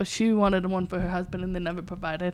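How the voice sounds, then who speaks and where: A woman with an American accent at a fairly quick pace, on a very clean recording with a silent background. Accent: deaf speech. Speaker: deaf mentor and guest. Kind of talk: casual interview chat.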